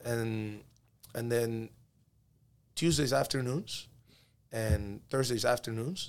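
With a Spanish accent, a man speaks at a moderate pace. His pitch sits in the middle of the male range and varies in an ordinary way. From Peru, moved to Miami at 12. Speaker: youth soccer coach. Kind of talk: casual interview chat.

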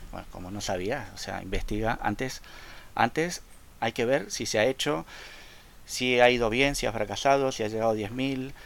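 Loudness swings widely as a man talks at a moderate pace, his medium pitch showing ordinary variation. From Argentina, Rosario. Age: 40s. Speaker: fan LEGO designer and photographer. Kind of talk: casual interview.

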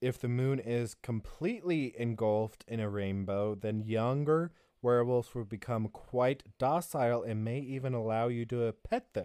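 A man with a normal speaking voice talks at a medium pitch and a moderate pace against a quiet background. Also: ordinary pitch variation. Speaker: podcast co-host. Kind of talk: casual chat, reading notes.

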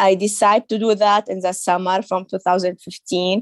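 A woman with an Arabic accent speaks at medium pitch with fairly even intonation, in a dry, close sound with no echo. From Saudi Arabia, of Syrian family. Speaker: author and women's rights activist. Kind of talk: interview. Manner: halting, with frequent repetitions and fillers.

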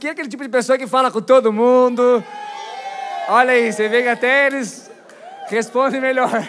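Against crowd noise, a man with an extremely high pitch sounds animated, speaking at a moderate pace with long, frequent pauses, ordinary pitch variation and big swings in loudness. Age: 20s. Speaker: pastor. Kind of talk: sermon.

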